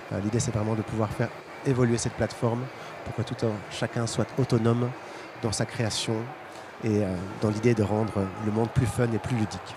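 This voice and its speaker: A man with a Belgian accent at a medium pitch and moderate pace, monotone and flat, amid noticeable background noise. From Belgium. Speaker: startup founder presenting product. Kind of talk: conference presentation. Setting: stage with audience at trade fair. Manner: halting, many fillers.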